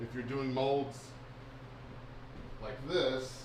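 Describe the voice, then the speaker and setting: A man speaks at a fairly slow pace in an American accent, his pitch medium. Audible room echo surrounds his voice. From US South (Alabama, Texas, Florida; Navy family). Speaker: bait maker. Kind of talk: live stream chat. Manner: casual, filler-heavy.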